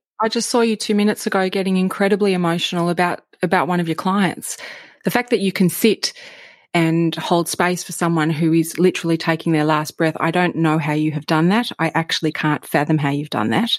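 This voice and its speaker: A woman with an Australian accent speaks at a fairly quick pace with an enthusiastic tone, in a very clean recording with a silent background and a dry, close sound with no echo. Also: ordinary pitch variation. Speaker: podcast host. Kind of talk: interview conversation.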